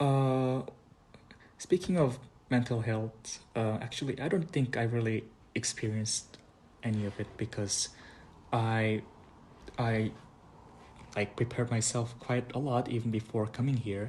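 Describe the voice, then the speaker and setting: Somewhat breathy and medium-pitched, a man talks at a fairly slow pace with fairly even intonation and long, frequent pauses. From South Korea. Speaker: international student. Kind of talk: interview. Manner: halting.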